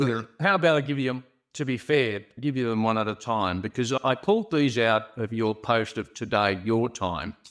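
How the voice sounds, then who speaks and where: Over a silent background in a very clean recording, a man talks at a moderate pace and medium pitch, with ordinary pitch variation and hardly any pauses. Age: 60s. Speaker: podcast co-host. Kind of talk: casual chat. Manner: animated.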